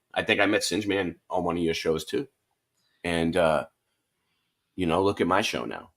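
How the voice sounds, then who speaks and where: An animated man with a Boston accent at a fairly quick pace. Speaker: online show host. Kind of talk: casual chat.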